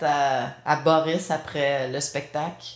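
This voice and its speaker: With a Quebec accent, a woman is talking. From Quebec, Granby. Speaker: punk rock musician. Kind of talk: casual interview.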